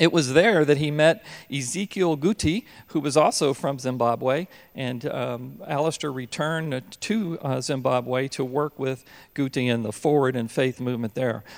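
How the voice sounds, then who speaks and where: Heard on a very clean recording with a silent background, an ordinary speaking voice moves at a moderate pace with ordinary pitch variation. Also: man, fairly high pitch for a man. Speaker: pastor. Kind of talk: church introduction. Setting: church.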